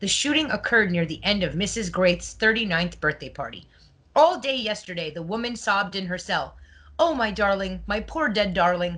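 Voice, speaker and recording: Lively intonation marks a woman's medium-pitched voice with a bright, sharp tone. She speaks at a fairly quick pace with vocal fry. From Quebec, Montreal. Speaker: podcast host. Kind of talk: casual chat, reading old news articles.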